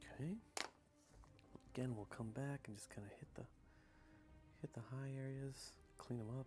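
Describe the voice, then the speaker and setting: Soft-spoken man at a medium pitch and moderate pace, ordinary pitch variation and long, frequent pauses, with music in the background. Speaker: hobby miniature painter streamer. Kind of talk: casual live stream narration. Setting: live stream at home.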